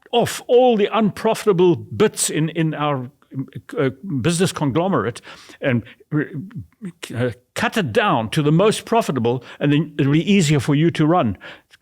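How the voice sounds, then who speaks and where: Vocal fry and very wide pitch swings come through in a very clean recording with a silent background. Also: man. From Zimbabwe. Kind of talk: interview answer.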